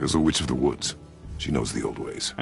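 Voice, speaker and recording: Someone performs a put-on character voice at a fairly quick pace. Background noise is clearly audible. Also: man. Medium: short film. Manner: terse, gruff.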